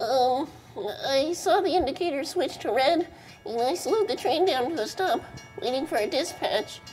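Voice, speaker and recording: Over clear background music, a man performs a put-on character voice at an extremely high pitch. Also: moderate pace. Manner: hesitant.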